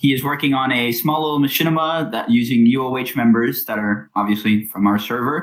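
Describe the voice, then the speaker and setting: Noticeable background noise is audible throughout. Over it, a man speaks at a medium pitch. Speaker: in-field reporter for a gaming community news show. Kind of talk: mock news interview. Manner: stutter.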